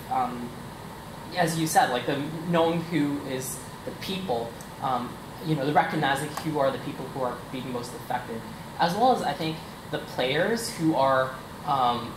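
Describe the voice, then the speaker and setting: Speech comes at a moderate pace. Background noise is noticeable. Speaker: audience member asking a question. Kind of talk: audience question. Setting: seminar room, near camera. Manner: halting, many fillers; loud.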